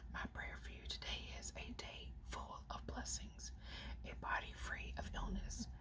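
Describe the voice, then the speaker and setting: A woman whispers, soft-spoken and at a fairly slow pace. Noticeable background noise is present. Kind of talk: ASMR whisper reading of inspirational quotes off a phone. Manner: whispered, soft.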